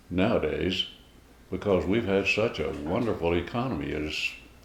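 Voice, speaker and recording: With audible room echo, a man speaks at a fairly slow pace in a very deep, low voice. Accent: American. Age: 90s. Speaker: elderly interviewee, Great Depression survivor. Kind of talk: interview. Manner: halting, many fillers.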